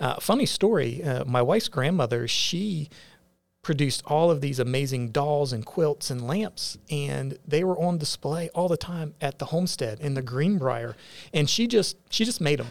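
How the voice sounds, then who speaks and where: An ordinary speaking voice: a man with an American accent, fairly high in pitch, lively in intonation, at a moderate pace. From West Virginia, northern Panhandle. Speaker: firefighter and media entrepreneur. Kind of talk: interview.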